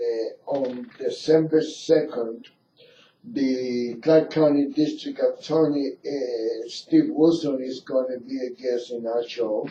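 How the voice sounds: A man's medium-pitched, dark and mellow voice at a slow pace with fairly even intonation.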